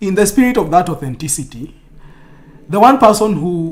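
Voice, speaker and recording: A man's voice with audible room echo. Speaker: streamer. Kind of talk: casual chat.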